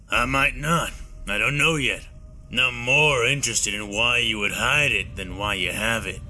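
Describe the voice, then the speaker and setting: Over clear music in the background, a man performs a put-on character voice. It sounds raspy at a medium pitch, with ordinary pitch variation. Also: moderate pace. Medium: read story. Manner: blunt, calm, probing.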